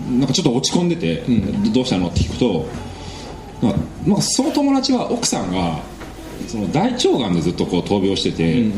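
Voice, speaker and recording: With noticeable background noise and audible room echo, a man talks at a fairly quick pace. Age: 30s. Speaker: preventive medicine researcher. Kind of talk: casual chat.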